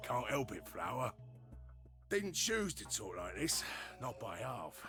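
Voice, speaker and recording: A man's put-on character voice in a Cockney accent, at a fairly slow pace, over clear music in the background. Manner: rough, gravelly.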